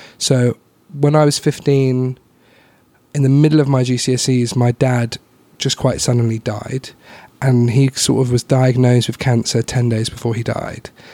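A man's dark, mellow voice in flat monotone, recorded dry and close with no echo. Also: medium pitch for a man, fairly slow pace. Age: 20s. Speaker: comedian. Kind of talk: casual chat.

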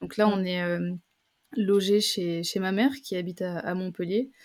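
A woman speaks at a fairly slow pace. Her medium-pitched voice keeps a fairly even intonation. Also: very clean recording, silent background. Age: 20s. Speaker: travel reporter and content creator. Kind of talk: interview testimony. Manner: halting, many fillers and repetitions.

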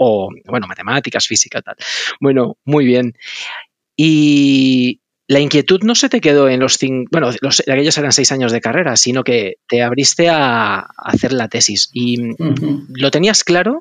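A man talks at a fairly slow pace and medium pitch in an ordinary speaking voice. The sound is dry and close with no echo. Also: ordinary pitch variation. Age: 40s. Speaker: podcast host. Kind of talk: interview conversation; scripted narration.

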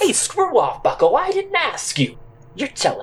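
The put-on character voice is loud and gruff. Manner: gruff, loud, abusive.

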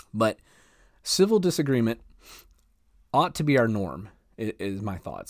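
A man with a Southern US accent speaks at a medium pitch. His pitch swings very widely, on a very clean recording with a silent background. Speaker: podcast host on leadership. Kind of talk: casual monologue. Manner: laid back.

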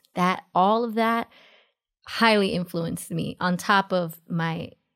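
The speaker has a New York accent. The pace is fairly slow. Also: woman. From US, New York City (Queens). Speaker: dancer and choreographer. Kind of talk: casual interview chat.

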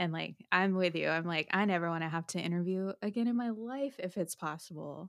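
A normal speaking voice at a fairly quick pace, with ordinary pitch variation, hardly any pauses, and a dry, close sound with no echo on a very clean recording with a silent background. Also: woman, fairly low pitch for a woman. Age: 30s. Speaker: podcast host. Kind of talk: casual chat.

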